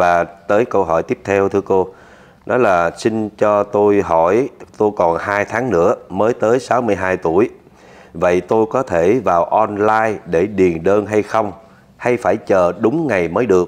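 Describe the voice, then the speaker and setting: A man speaks very slowly in a fairly low pitch with ordinary pitch variation. His loudness stays very even. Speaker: video channel host. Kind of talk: interview Q&A, reading viewer emails. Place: office.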